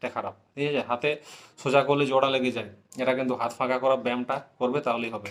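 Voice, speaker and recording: The pitch sits in a medium range for this man. Flat, monotone intonation runs throughout. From West Bengal, Jhargram. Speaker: YouTuber answering exam aspirants' questions. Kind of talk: casual Q&A monologue.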